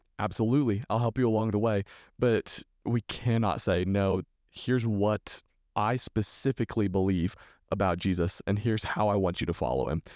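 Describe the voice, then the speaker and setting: A man speaks at a moderate pace with a fairly low pitch, ordinary pitch variation and very even loudness. The recording is very clean and dry, with a close sound, no echo and a silent background. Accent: Texan. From Texas. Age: 20s. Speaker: youth minister. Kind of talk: casual chat.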